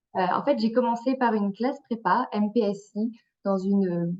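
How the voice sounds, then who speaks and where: A normal speaking voice comes through with fairly even intonation. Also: woman. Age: 20s. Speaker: engineering student. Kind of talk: webinar talk.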